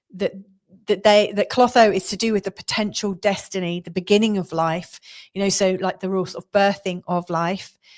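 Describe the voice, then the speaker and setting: A speaker with a southeast English accent talks at a fairly quick pace with fairly even intonation and big swings in loudness. The recording is very clean, with a silent background. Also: woman. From southeast England. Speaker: astrologer. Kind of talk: astrology forecast talk. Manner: casual, with many fillers and restarts.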